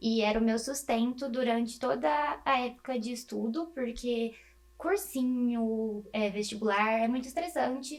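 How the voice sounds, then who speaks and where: With ordinary pitch variation and a high pitch, a woman talks at a fairly slow pace. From interior of São Paulo state, Brazil (Presidente Prudente). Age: 20s. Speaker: medical student. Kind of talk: interview.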